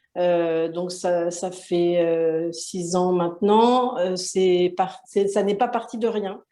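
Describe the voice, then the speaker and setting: A woman's dark, mellow voice at a medium pitch, very slow yet with hardly any pauses, its intonation fairly even. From France. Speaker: self-publishing business owner. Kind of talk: interview. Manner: hesitant, many fillers.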